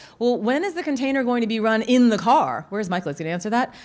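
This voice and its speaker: Racing along at a very fast pace, a woman speaks in a fairly high voice with lively intonation. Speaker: tech community organizer. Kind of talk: conference talk.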